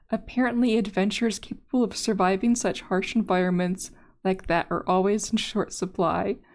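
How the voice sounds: A speaker uses a natural reading voice. The reading sounds natural throughout.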